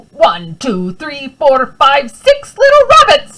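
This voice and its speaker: Using a put-on character voice, a woman speaks. Her pace is fairly slow. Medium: read story.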